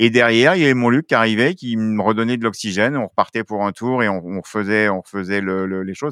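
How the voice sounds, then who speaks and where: A man's fairly low voice at a very fast pace, with hardly any pauses, in a dry, close sound with no echo and a very clean recording against a silent background. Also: ordinary pitch variation. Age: 50s. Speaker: film school director, former roller sport official. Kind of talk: interview. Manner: animated.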